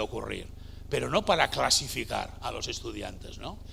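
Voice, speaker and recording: A man speaking at a moderate pace, with audible room echo. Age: 60s. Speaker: education consultant. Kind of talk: lecture. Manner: hesitant, many fillers.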